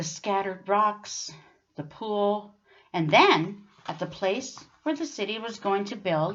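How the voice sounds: This natural reading voice moves through an ordinary range of pitch.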